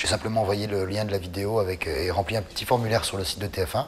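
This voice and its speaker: A man at a fairly low pitch, very fast, with fairly even intonation and noticeable background noise. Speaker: singer. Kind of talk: interview. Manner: halting.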